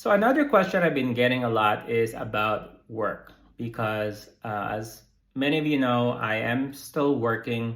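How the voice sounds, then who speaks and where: Audible room echo carries a man's medium-pitched voice as he speaks fairly slowly with an American accent and ordinary pitch variation. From United States. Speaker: psychotherapist and vlogger. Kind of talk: casual vlog update. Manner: hesitant, many fillers and repeats.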